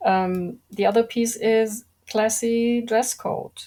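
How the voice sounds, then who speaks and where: A quiet woman with a non-native accent, a calm, dark, mellow tone and ordinary pitch variation, in a very clean recording with a silent background. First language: not English. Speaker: industry expert guest. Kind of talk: podcast interview. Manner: slow; calm and quiet.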